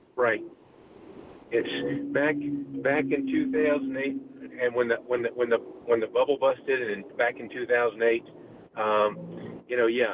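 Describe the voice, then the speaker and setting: Noticeable background noise sits under speech at a moderate pace broken by long, frequent pauses. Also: man. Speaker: caller. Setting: in a car; phone call.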